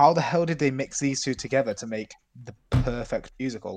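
A man speaks in a British accent at a moderate pace. His pitch sits in the medium range. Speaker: podcast co-host. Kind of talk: casual chat. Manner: low energy.

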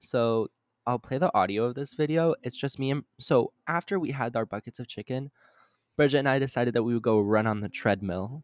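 The recording is very clean with a silent background and a dry, close sound with no echo, as a man with a plain, everyday voice and a medium pitch talks at a fairly quick pace. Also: ordinary pitch variation. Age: young. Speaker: student podcast co-host. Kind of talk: casual chat.

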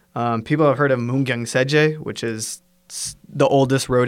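A man with an American accent at medium pitch, flat and monotone, at a moderate pace. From US, Washington State. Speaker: English teacher. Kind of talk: casual chat.

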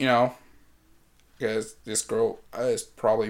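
A man with a medium pitch talks at a moderate pace with lively intonation. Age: 20s. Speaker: podcast host. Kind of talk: casual chat. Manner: animated; loud.

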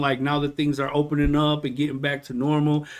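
A man speaks at a fairly quick pace in a fairly high pitch. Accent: Detroit. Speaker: podcast host. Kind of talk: casual chat, interview. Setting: live podcast, video. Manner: animated, casual, slangy.

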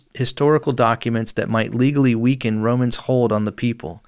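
Recorded very cleanly against a silent background, a man uses an ordinary speaking voice at a medium pitch with fairly even intonation. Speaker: podcast host. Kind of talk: casual chat. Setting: studio. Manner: laughs often, joking.

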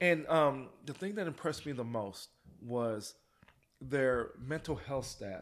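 This man has an ordinary speaking voice and lively intonation. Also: fairly high pitch for a man, fairly slow pace. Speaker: father of an NFL player. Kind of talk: casual chat.

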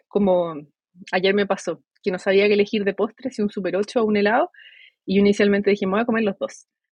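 A woman with a Chilean accent, in a dry, close sound with no echo. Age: 20s. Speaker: psychologist. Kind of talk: interview.

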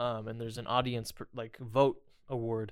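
A man with an American accent speaks in a flat, monotone way. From Indiana, US. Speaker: filmmaker and comedian. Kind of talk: casual chat.

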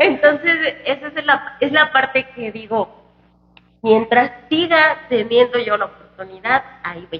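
The speaker talks at a fairly slow pace with lively intonation. Loudness swings widely throughout. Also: woman, high pitch for a woman. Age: 20s. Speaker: singer. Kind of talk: casual chat. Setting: restaurant.

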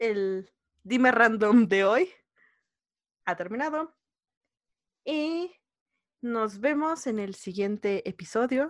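Speech comes at a very slow pace with long, frequent pauses and lively intonation. The recording is very clean, with a silent background. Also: woman, fairly high pitch for a woman. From Mexico City. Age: 20s. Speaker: podcast co-host. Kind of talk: casual chat.

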